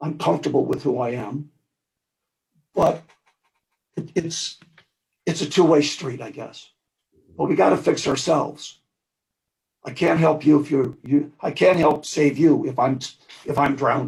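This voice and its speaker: A man with an American accent talks in a somewhat breathy voice, leaving long, frequent pauses while his loudness swings widely. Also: fairly high pitch for a man, ordinary pitch variation, fairly slow pace. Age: 70s. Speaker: war veteran, medal of honor recipient. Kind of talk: panel discussion. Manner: halting.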